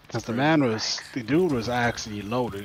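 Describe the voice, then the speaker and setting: Man talking at a fairly quick pace with ordinary pitch variation amid noticeable background noise. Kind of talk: casual chat while gaming. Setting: Discord voice chat.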